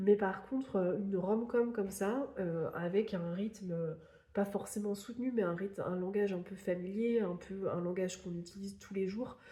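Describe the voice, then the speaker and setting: A woman with a dark, mellow tone and a somewhat breathy voice speaks at a fairly slow pace. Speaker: book YouTuber. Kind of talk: casual vlog book review. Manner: hesitant, many fillers.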